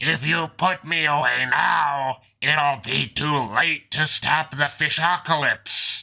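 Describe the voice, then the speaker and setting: Raspy and fairly high for a man, this cartoonish character voice moves at a fairly slow pace with hardly any pauses. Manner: erratic, manic.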